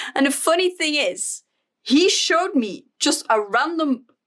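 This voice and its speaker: A woman speaks with a Flemish Belgian accent. Her pitch swings very widely. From Flanders, Belgium. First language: Dutch. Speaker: stationery YouTuber. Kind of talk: casual vlog flip-through. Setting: home desk filming. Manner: casual with frequent fillers.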